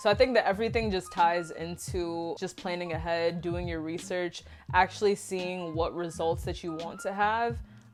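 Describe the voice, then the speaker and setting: A woman's fairly low voice over background music, at a moderate pace with hardly any pauses, ordinary pitch variation and big swings in loudness. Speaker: YouTuber and influencer. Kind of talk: casual vlog talk. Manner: relaxed, conversational like on the phone.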